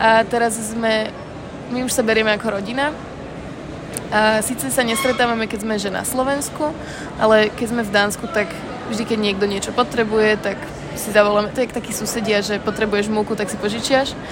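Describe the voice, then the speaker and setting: Against noticeable background noise and audible room echo, a woman talks at a fairly quick pace with fairly high pitch. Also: fairly even intonation. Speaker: student abroad. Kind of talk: documentary interview.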